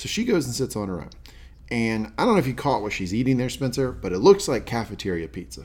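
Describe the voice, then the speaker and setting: A man with an American accent talks at a very fast pace. His voice has vocal fry and lively intonation. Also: medium pitch for a man. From US South. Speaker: podcast host. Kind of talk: casual chat.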